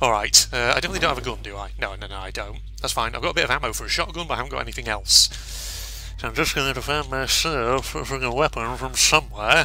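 A man at a very fast pace with hardly any pauses and big swings in loudness, over music in the background. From UK. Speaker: gaming YouTuber. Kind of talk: gameplay commentary. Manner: animated.

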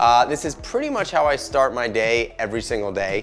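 A man is speaking. Faint music plays in the background. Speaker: cooking host. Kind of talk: cooking tutorial. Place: kitchen. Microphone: lapel.

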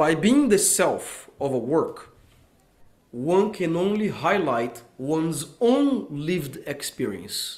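A man speaks at a very slow pace in a high voice. His pitch swings very widely. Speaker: lecturer. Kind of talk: casual group discussion. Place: studio. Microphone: studio mic.

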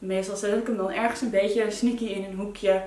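This woman has a dark, mellow tone at medium pitch, with little pitch movement. She speaks at a moderate pace, and there is audible room echo.

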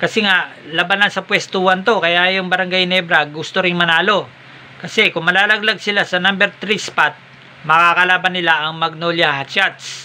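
The delivery is monotone and flat, at a moderate pace. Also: man, high pitch for a man. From Philippines. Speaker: sports vlogger. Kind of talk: sports news recap vlog. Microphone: phone near.

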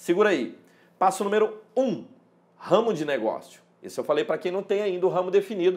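A man with vocal fry talks at a fairly quick pace. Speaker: import business educator. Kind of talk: tutorial. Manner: casual, conversational. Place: home room. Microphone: lapel.

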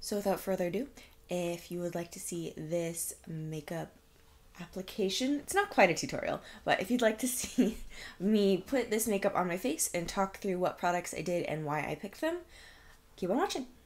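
A woman's lively intonation carries her speech along at a moderate pace. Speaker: beauty vlogger. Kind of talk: makeup tutorial chat. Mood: cheerful, upbeat. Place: home room.

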